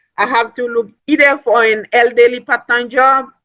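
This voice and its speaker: Her tone bright and sharp, a woman with a non-native accent speaks at a fairly slow pace. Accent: foreign. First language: not English. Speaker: network marketing speaker, nursing assistant. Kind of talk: motivational business talk. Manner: animated.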